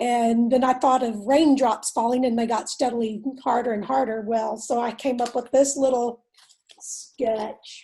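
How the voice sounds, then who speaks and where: A woman's high-pitched voice with a Texan accent, fairly slow and monotone with flat intonation. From Texas. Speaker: workshop participant. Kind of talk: casual discussion.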